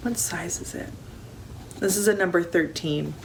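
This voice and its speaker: Noticeable background noise sits behind the speaker. She is a woman with a fairly low pitch. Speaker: crafter, knitting vlogger. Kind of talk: casual talk to camera.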